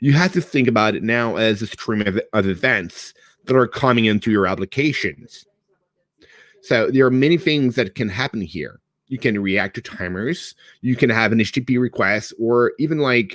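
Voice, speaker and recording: At a moderate pace, a man with a French Canadian accent shows ordinary pitch variation. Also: medium pitch for a man. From Quebec / French Canada. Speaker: cloud developer advocate. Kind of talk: technical presentation. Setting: online meetup. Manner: casual, conversational.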